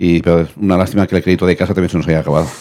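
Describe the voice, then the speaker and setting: Very fast and monotone, a man speaks with flat intonation, a dark, mellow tone and a very deep, low pitch. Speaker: match analyst co-commentator. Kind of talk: casual sports analysis.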